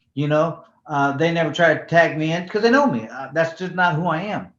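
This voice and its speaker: Moving at a moderate pace, a man speaks in a fairly high pitch with ordinary pitch variation. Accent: American. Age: 60s. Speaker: former professional boxer. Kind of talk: interview. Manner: casual, halting with repetitions.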